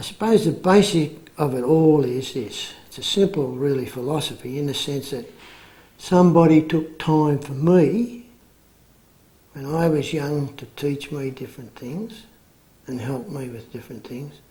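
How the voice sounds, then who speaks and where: A man speaks with an Australian accent. His pace is fairly slow, with ordinary pitch variation. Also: fairly high pitch for a man. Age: 60s. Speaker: men's group facilitator. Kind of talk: interview testimony. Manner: halting.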